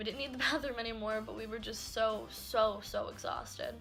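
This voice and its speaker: A woman's voice over music in the background. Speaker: YouTuber. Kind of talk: storytime vlog; bloopers. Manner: animated; fast.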